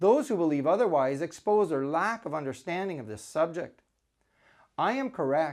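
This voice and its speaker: On a very clean recording with a silent background, a man speaks at a high pitch and a moderate pace, his pitch swinging very widely. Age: 60s. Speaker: scientist. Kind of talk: scripted rebuttal lecture. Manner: formal.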